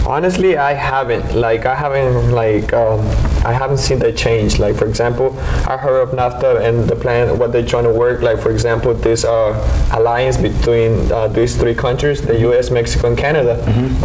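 There is noticeable background noise. A man speaks at a moderate pace. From Mexico, Oaxaca. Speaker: immigrant rights activist. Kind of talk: casual discussion. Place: studio. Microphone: studio mic.

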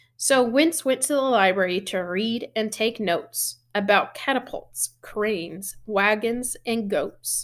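A woman speaks slowly at a medium pitch, with ordinary pitch variation and few pauses.

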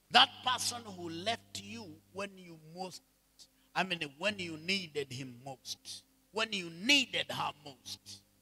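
The man's high-pitched voice has lively intonation and big swings in loudness. He talks at a very slow pace. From Kenya. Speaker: bishop and preacher; bishop, preacher. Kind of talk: sermon. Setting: church with congregation. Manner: animated. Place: church. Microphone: handheld.

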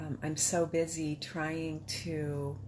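A woman's somewhat breathy voice, very deep and low in pitch, with ordinary pitch variation over light background noise. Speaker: patient sharing illness journey. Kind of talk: personal testimony. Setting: self-recorded video. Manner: casual, candid. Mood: reflective, emotional, hopeful. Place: home room. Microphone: phone near.

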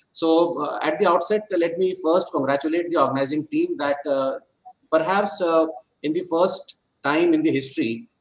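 A man speaks with light background noise and an audible echo from the room. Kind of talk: welcome address. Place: office. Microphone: video call.

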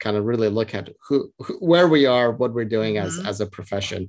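A man with an ordinary speaking voice, fairly low in pitch, at a fairly quick pace with ordinary pitch variation, against a quiet background. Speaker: podcast host, registered nurse. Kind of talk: podcast interview conversation.

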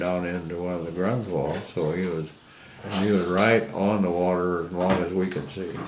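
The speaker has a Midwestern American accent and a moderate pace, with fairly even intonation. Background noise is noticeable. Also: man. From Iowa, USA. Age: 80s+. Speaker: WWII Navy veteran. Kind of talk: interview answer.

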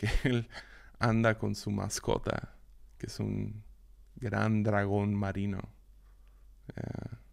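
A man speaks at a very slow pace, leaving long, frequent pauses. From Mexico, Mazatlán, Sinaloa. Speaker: podcast host, Bible teacher. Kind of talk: devotional Bible teaching monologue. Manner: halting, many repetitions and fillers.

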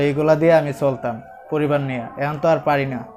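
A man speaks at a fairly high pitch with fairly even intonation while music plays in the background. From Bangladesh, Madhabpur (Habiganj). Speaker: injured protester, driver. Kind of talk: interview testimony.

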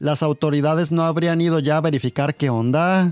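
Faint music sits behind a man speaking at a moderate pace in a dry sound with no echo. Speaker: film reviewer. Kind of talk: commentary. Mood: wry, sarcastic. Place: home room. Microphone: studio mic.

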